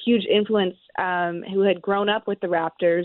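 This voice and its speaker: In a plain, everyday voice, a woman at medium pitch talks at a fairly quick pace. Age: 30s. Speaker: baseball reporter. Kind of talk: sports talk radio interview.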